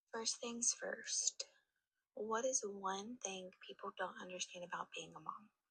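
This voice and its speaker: In a dry, close sound with no echo, a woman with an American accent speaks with big swings in loudness. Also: fairly slow pace. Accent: Southern US, self-described hillbilly sound. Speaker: mother, friend of host. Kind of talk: recorded answers to questions. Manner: emphatic.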